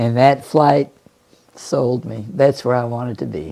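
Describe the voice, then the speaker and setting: A woman with an American accent speaks at a moderate pace. Her very deep, low pitch shows ordinary variation. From US Northeast, northern Maine. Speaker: war veteran. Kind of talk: oral history interview.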